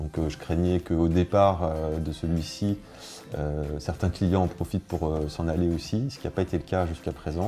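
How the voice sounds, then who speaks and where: With music in the background, a man talks at a moderate pace in a very deep, low pitch with fairly even intonation. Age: 30s. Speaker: business owner. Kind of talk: testimony. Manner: halting, many hesitations.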